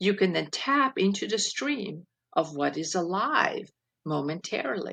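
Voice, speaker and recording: With a non-native accent, a woman speaks at a fairly slow pace and medium pitch, her soothing tone bright and sharp, with very wide pitch swings. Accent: foreign. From Switzerland. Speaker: keynote speaker and life coach. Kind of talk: reading aloud; interview.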